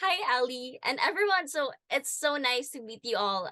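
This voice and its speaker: A woman with a bright, sharp tone and lively intonation speaks at a moderate pace, the sound dry and close with no echo. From Philippines. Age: 20s. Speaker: podcast co-host, engineering student. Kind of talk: casual podcast chat.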